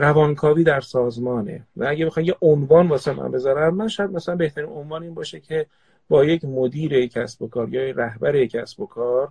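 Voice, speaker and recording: The voice is somewhat breathy and moves at a fairly quick pace. The sound is dry and close, with no echo. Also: man, fairly high pitch for a man, ordinary pitch variation. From Tehran, Iran. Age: 40s. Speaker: organizational psychoanalyst. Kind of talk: casual live chat.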